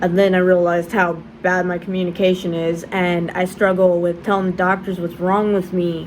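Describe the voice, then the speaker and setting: Noticeable background noise sits behind a woman's voice. She speaks at a medium pitch and a fairly slow pace. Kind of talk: casual vlog. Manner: halting, repetitions.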